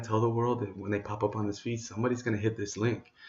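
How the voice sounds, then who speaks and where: A man's somewhat breathy whisper at a fairly quick pace. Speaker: entrepreneur vlogger. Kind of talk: casual vlog monologue. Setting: at home late at night. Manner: whispering.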